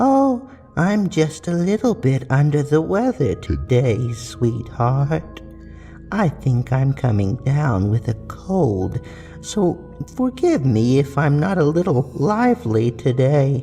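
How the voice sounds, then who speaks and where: Soft-spoken and raspy, a man puts on a character voice with a fairly high pitch and a fairly slow pace. Music plays clearly in the background. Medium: read story. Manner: falsely sweet, grandmotherly.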